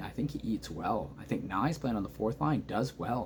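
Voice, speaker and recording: Quiet but animated and excited, a man speaks at a moderate pace with vocal fry, medium pitch and very wide pitch swings. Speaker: hockey fan commentator. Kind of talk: casual reaction video. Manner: quiet, subdued volume; animated, excited.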